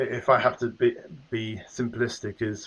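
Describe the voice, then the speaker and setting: With an English accent, a man talks at medium pitch and a moderate pace. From England, southwest London. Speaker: business executive. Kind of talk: interview. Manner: hesitant, many fillers.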